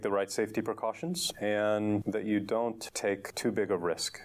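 A man with a fairly low pitch uses a normal speaking voice. He keeps a moderate pace and fairly even intonation. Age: 40s. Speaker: entrepreneur. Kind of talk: interview.

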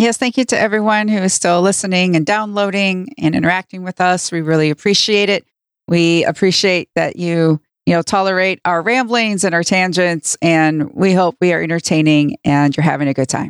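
An ordinary speaking voice from a woman at medium pitch and moderate pace, with ordinary pitch variation, very even loudness, and a dry, close sound with no echo on a very clean recording with a silent background. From northern US. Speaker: podcast co-host. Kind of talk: casual chat. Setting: studio, livestreamed.

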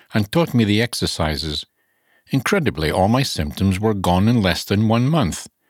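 This man has a fairly low pitch, an ordinary speaking voice, and lively intonation at a moderate pace. The sound is dry and close with no echo, on a very clean recording with a silent background. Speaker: radio narrator. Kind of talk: scripted narration reading aloud.

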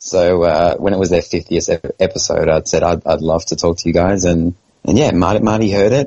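Speaking at a very fast pace, a man talks with an Australian accent. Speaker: pinball podcast co-host. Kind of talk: casual chat.

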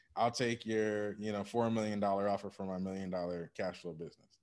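A man's fairly low, unremarkable speaking voice, at a fairly quick pace and with fairly even intonation. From Michigan, US Midwest. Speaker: business acquisition advisor, former engineer. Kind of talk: interview. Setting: remote call.

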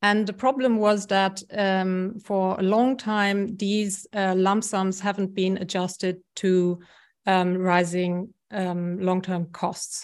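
In a German accent, a voice speaks at a very slow pace with monotone, flat intonation over a quiet background. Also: woman, medium pitch for a woman. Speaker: health economics professor. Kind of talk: interview.

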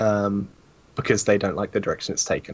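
This is a man with a British accent. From UK. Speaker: sim racing commentator. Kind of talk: casual chat.

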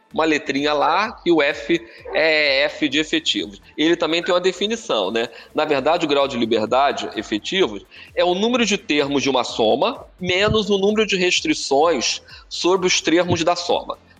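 Lively intonation from a man with a high pitch. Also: moderate pace, very even loudness. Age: 50s. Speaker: professor. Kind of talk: lecture. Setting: live stream. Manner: talkative.

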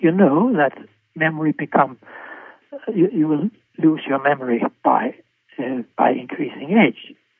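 A man with a Danish accent, fairly high in pitch, at a fairly slow pace. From Denmark. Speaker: physician and cholesterol researcher. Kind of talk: interview. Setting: remote call. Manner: halting, with many repetitions.

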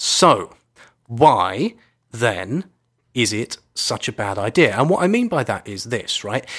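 A man with a British accent talks at a very slow pace and a medium pitch, with very wide pitch swings. The recording is very clean, the background silent. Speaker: environmental podcast co-host. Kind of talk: casual chat. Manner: playful.

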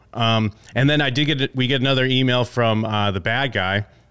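At a moderate pace, a man speaks in a normal speaking voice with ordinary pitch variation. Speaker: podcast host. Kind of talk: casual chat.

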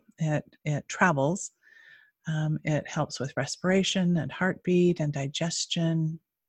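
Someone with an American accent speaks at a very slow pace, somewhat breathy, with fairly even intonation. The sound is dry and close, with no echo. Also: woman, very deep, low pitch for a woman. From Utah. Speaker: energy healer. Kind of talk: guided meditation. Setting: video call.

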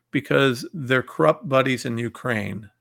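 A man speaks at a medium pitch with vocal fry. His tone is fairly bright.

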